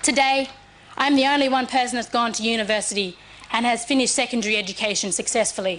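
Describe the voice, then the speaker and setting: There is noticeable background noise behind this woman. She speaks at a high pitch with ordinary pitch variation. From Cape York, Queensland, Australia. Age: 20s. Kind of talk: formal speech.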